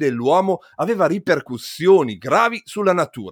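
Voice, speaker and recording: At a moderate pace, a man's voice moves through very wide pitch swings, recorded dry and close with no echo. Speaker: podcast host and physicist. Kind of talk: scripted narration.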